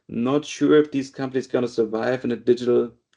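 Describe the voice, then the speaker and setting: A man's medium-pitched voice with a dark, mellow tone, a moderate pace and fairly even intonation. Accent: German. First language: German. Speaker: data and AI director. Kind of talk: interview. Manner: halting.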